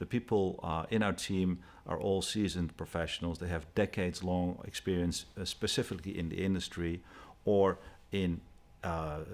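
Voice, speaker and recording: Speaking with a Dutch accent, a man has a very deep, low pitch and fairly even intonation. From Netherlands. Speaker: company executive. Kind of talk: interview.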